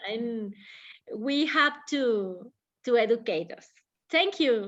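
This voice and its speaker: Against a quiet background, a woman speaks with a Spanish accent. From Mexico. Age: oldest in the group. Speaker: English class participant. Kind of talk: casual discussion. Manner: halting.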